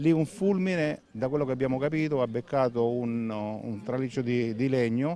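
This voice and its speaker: The speaker has a dark, mellow tone and talks at a moderate pace with ordinary pitch variation and hardly any pauses, in a dry sound with no echo over light background noise. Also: man. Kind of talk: interview answer. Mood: somber, regretful. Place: open country.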